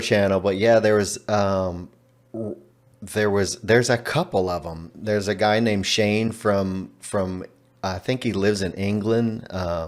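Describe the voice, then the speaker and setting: Slowish and fairly low in pitch, a man talks in a Texan accent. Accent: Texan American English. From Texas. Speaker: language learner. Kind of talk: interview.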